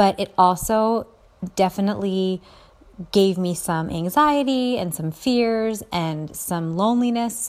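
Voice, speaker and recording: A woman with a medium pitch speaks fairly slowly, her pitch varying in an ordinary way. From US Northeast, Philadelphia suburbs. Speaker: blogger and podcast host. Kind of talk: solo monologue podcast.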